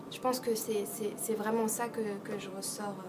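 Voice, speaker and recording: Against noticeable background noise, a woman speaks at a fairly high pitch and a fairly slow pace with monotone, flat intonation. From France. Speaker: actress. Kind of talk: interview answer.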